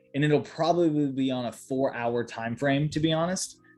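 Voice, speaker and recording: Noticeable background noise sits behind a man with a medium pitch who speaks at a moderate pace in an animated tone. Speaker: market analyst. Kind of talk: tutorial. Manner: casual, animated.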